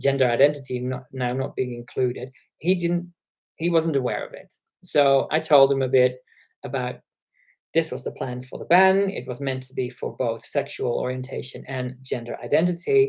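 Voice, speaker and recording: A man speaks at a moderate pace in a medium-pitched, somewhat breathy voice. His pitch variation is ordinary, while his loudness swings widely. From Netherlands. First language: Dutch. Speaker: YouTuber, gender-critical commentator. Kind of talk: casual live stream chat. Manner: hesitant with many fillers. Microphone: internal laptop microphone.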